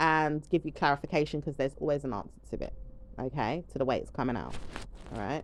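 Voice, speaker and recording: A woman speaks with a very deep, low pitch and ordinary pitch variation against a quiet background. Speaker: tarot reader. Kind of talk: tarot reading monologue. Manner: fast.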